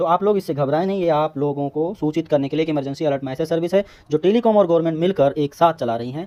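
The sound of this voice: A man with a fairly high pitch and a dark, mellow tone speaks at a fast pace. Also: ordinary pitch variation.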